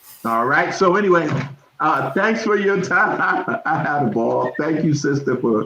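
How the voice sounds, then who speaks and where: Against noticeable background noise, a man with a fairly high pitch speaks with lively intonation. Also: moderate pace. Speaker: management consultant. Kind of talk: talk with Q&A. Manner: stammering repetitions.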